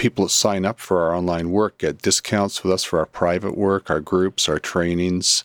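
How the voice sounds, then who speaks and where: Recorded very cleanly against a silent background, a man speaks with hardly any pauses in a very deep, low voice, his intonation monotone and flat and his loudness very even. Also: moderate pace, dry, close sound with no echo. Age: 60s. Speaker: psychotherapist and spiritual teacher. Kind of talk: interview.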